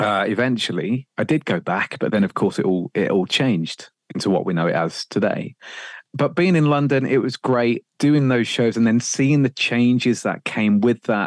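Lively intonation marks a man with a Birmingham accent and a medium pitch, his loudness very even. The sound is dry and close with no echo, over a quiet background. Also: moderate pace. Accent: Birmingham-area English. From English Midlands, Sutton Coldfield. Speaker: radio presenter. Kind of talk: casual interview chat.

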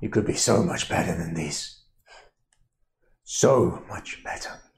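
Put-on character voice from a man, fairly slow and fairly low-pitched. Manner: firm, still strong.

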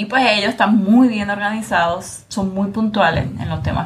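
The delivery is at a moderate pace, with noticeable background noise behind it. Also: woman. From Puerto Rico. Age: young. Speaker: lawyer, podcast host. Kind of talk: interview conversation.

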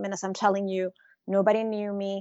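A woman's medium-pitched voice with a Spanish accent. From Venezuela. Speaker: art advisor and author. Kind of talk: interview. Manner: animated.

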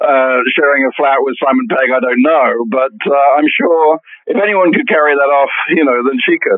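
Speaking at a moderate pace with a British accent, a man uses a fairly high pitch with ordinary pitch variation. His loudness stays very even, and there are hardly any pauses. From England. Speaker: entertainment journalist. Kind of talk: casual interview chat.

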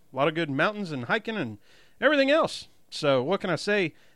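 At a fairly quick pace, a man with a Southern US accent speaks with very wide pitch swings over a quiet background. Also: big swings in loudness. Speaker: podcast host. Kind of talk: casual banter podcast about racing. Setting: studio. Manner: animated, energetic.

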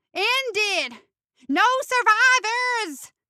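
This is a put-on character voice that sounds squeaky. Its pitch swings very widely. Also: woman, extremely high pitch for a woman.

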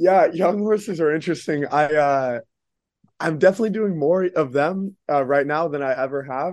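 A man with an American accent, fairly high in pitch, at a moderate pace with ordinary pitch variation, against a quiet background. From Dallas, Texas. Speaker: show jumping rider and trainer. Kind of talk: casual interview. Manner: hesitant, many fillers.

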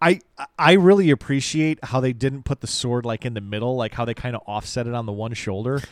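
A man's plain, everyday voice at a medium pitch, fairly quick, with ordinary pitch variation and a dry, close sound with no echo. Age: 40s. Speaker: toy podcast co-host. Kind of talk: casual chat.

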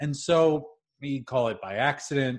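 A plain, everyday voice from a man, fairly high in pitch with ordinary pitch variation, at a fairly slow pace against a quiet background. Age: 40s. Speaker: leadership coach and trainer. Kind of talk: interview.

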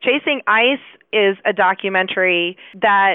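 A woman speaks at a medium pitch with fairly even intonation. She has an ordinary speaking voice. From Chicago. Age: 40s. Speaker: biology professor. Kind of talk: interview.

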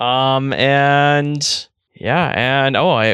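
A man with a Canadian accent is heard against a quiet background, in a dry, close sound with no echo. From Red Deer, Alberta, Canada. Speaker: podcast co-host. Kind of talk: casual chat. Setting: outdoors on a deck.

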